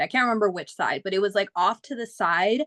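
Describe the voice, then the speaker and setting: In a normal speaking voice, a woman with an American accent talks at a fairly quick pace and medium pitch, the sound dry and close with no echo. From Phoenix, Arizona, US. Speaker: singer. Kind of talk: casual chat.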